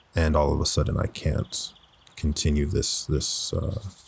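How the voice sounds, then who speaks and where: A man's moderate-paced speech plays against noticeable background noise. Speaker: voice actor. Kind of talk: personal reflective talk. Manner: reflective, conversational.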